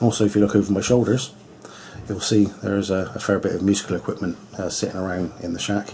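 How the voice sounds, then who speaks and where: Over noticeable background noise, a man with a Bristolian accent speaks at a fairly low pitch and a fairly quick pace. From England, Bristol. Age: 50s. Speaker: hot rod vlogger. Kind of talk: casual vlog talk to camera. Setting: home radio shack. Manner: hesitant, many fillers.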